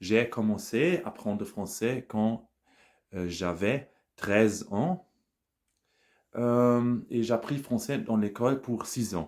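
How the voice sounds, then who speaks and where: A man speaks very slowly with a German accent and ordinary pitch variation. His long pauses come frequently. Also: medium pitch for a man. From Germany, Bonn area. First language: German (speaking French). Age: 40s. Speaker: language learner, scientific employee. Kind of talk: casual monologue practising a foreign language. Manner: halting, many hesitations.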